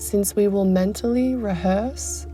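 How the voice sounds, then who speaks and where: Very slow speech from a woman, background music underneath. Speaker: mindset coach. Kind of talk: guided meditation.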